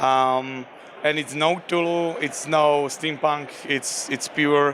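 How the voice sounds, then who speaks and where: Speaking with a Slovak accent, a man talks at a fairly slow pace in a fairly high pitch. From Slovakia. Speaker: game designer. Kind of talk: interview. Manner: halting, many fillers.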